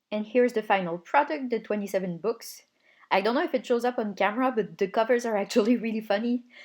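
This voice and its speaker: A woman with a non-native accent talks at a very fast pace with a fairly high pitch and ordinary pitch variation. The recording is very clean, the background silent. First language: not English. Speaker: hobbyist video maker. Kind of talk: voice-over narration of crafting video. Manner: casual.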